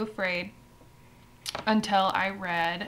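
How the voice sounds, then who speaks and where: A woman speaks in a plain, everyday voice at medium pitch with fairly even intonation. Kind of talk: casual talk to camera.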